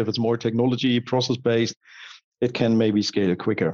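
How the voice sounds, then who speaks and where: A man of medium pitch speaks with a German accent, the sound dry and close with no echo. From Germany. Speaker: digital strategy consultant. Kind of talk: interview.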